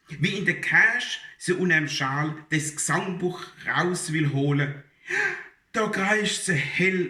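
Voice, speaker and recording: With lively intonation, the man speaks at a very slow pace. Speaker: dialect poetry reciter. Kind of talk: humorous dialect poetry reading.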